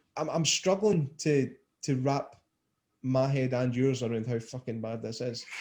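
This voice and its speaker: Ordinary pitch variation marks this man's speech. He talks at a fairly slow pace. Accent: Scottish. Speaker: podcast host. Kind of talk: casual podcast talk.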